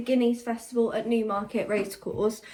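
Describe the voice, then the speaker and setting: A woman talks with an English accent. Noticeable background noise is present. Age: 20s. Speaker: lifestyle vlogger. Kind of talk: casual vlog talk to camera.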